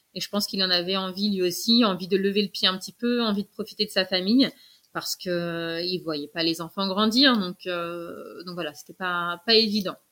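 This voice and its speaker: A woman speaks at a medium pitch in a bright, sharp tone, at a fairly quick pace with fairly even intonation and big swings in loudness, recorded dry and close with no echo on a very clean track with a silent background. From Paris. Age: 30s. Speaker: podcast guest, mother who relocated. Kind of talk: interview testimony. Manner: hesitant with fillers.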